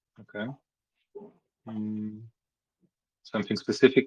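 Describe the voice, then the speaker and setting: In a non-native accent, a man speaks at a fairly slow pace and medium pitch, his tone bright and sharp, in a dry, close recording with no echo. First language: not English. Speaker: meeting facilitator. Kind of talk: community meeting discussion.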